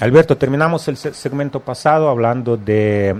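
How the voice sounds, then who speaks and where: A man in an ordinary speaking voice with lively intonation at a moderate pace. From Russia. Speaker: radio host. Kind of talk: interview. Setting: studio.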